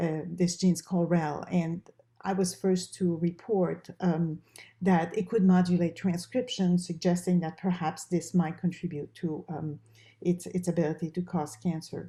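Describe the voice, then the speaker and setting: A woman with a French Canadian accent, a somewhat breathy voice, a dark, mellow tone, fairly low pitch, monotone, flat intonation, and a moderate pace. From Quebec, Canada. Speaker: professor and research dean. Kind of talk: interview.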